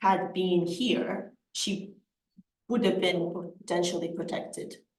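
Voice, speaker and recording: Woman at a fairly low pitch, with audible room echo. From Scotland. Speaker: lawyer. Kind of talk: lecture. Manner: halting, many repetitions and fillers.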